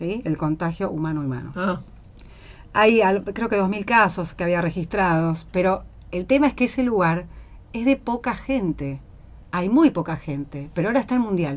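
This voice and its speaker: A woman speaks at a medium pitch with very wide pitch swings and long, frequent pauses. The recording is very clean, with a silent background. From Buenos Aires, Argentina. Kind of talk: casual chat.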